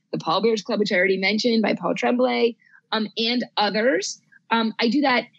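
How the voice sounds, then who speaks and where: A woman's fairly high, somewhat breathy voice comes through dry and close, with no echo. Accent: American. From New Jersey. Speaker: librarian and horror author. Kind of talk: casual chat.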